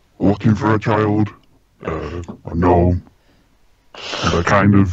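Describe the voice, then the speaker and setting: A man puts on a character voice with a fairly low pitch. He speaks at a fairly slow pace. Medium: actual play. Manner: blunt, terse.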